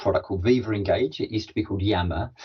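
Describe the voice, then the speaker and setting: A man talks in a somewhat breathy voice at a fairly low pitch. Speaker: corporate podcast host and learning and development professional. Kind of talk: interview conversation. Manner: fast; enthusiastic.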